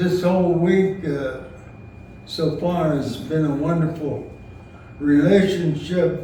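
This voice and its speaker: Against audible room echo and noticeable background noise, a man talks very slowly in a high voice with fairly even intonation. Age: 90s. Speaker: retired minister, family elder. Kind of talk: memorial luncheon speech. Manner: halting.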